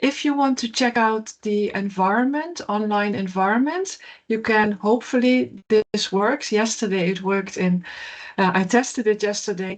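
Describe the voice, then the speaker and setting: A woman speaks with a Dutch accent. Her pitch is fairly high. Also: ordinary pitch variation, moderate pace. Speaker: professor. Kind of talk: keynote lecture. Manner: hesitant, frequent fillers.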